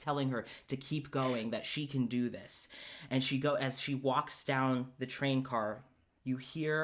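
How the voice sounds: Someone reads in a natural reading voice with intonation that stays fairly even.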